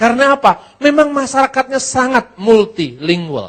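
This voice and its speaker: This man has a Javanese accent and a moderate pace. His pitch swings very widely. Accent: Javanese-accented Indonesian. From Java, Indonesia. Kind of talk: lecture. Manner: conversational, with rhetorical questions.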